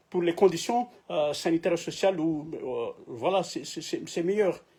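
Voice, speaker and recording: A dark, mellow tone at a moderate pace, in a non-native accent. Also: man. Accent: non-native French, imperfect. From Madagascar. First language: Malagasy (speaking French). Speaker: political activist, YouTuber. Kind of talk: political address to camera. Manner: halting, many hesitations and repetitions.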